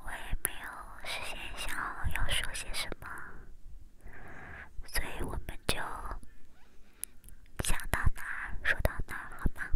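Whispering at a fairly slow pace, a woman leaves long, frequent pauses, and her loudness swings in big shifts. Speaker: ASMR content creator. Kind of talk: ASMR whisper chat to camera. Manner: whispered, soft-spoken, slow.

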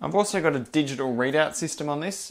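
A man speaks with an Australian accent. His pitch sits fairly high. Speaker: machinist and maker YouTuber; maker YouTuber. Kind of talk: video narration / workshop update. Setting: home workshop. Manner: fast-paced. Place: workshop. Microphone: lapel.

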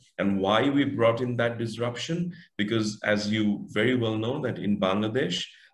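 In a quiet background with audible room echo, a man talks at a fairly slow pace and fairly low pitch, with ordinary pitch variation. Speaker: guest. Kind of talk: interview answer. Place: home room. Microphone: video call.

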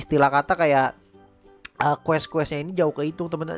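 A man's voice over faint background music. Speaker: gaming content creator. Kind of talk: casual gameplay commentary. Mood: reflective, mildly regretful.

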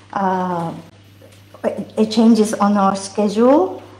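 A dark, mellow tone carries fairly even intonation at a very slow pace, with audible room echo. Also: woman. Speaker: church announcer. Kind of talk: church announcements. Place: church.

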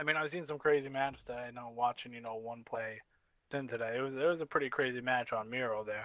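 A medium-pitched man with an American accent talks at a very fast pace with fairly even intonation. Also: big swings in loudness. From US East Coast. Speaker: esports caster, co-commentator. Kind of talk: live commentary.

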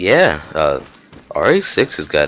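A man's voice against noticeable background noise. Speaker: gamer. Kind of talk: gameplay commentary, casual and profane. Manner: excitable, swears a lot.

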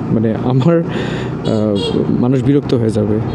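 A man speaks with ordinary pitch variation. Noticeable noise sits in the background. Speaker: moto vlogger. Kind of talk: casual vlog chat. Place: motorbike. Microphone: helmet.

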